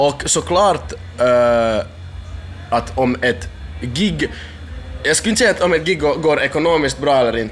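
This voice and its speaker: A man at a moderate pace, with very even loudness, long, frequent pauses and music in the background. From Finland (Kokkola area, Swedish-speaking Ostrobothnia). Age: 20s. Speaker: booking agent and event organizer. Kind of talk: casual interview. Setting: backstage at a festival.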